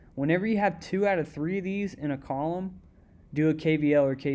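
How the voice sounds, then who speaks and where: A man's fairly high voice with a dark, mellow tone, a fairly quick pace and a quiet background. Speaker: student explaining homework. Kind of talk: tutorial. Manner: fast; casual, conversational.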